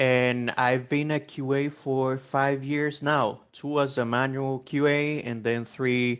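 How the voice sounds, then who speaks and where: Against a quiet background, a man with a Spanish accent speaks at a fairly slow pace in a medium pitch with monotone, flat intonation. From El Salvador. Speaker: QA automation engineer, course student. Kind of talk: self-introduction.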